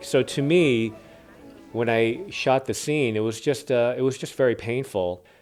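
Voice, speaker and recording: Music in the background and a man at a medium pitch, with ordinary pitch variation and a fairly slow pace. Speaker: actor. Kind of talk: interview answer.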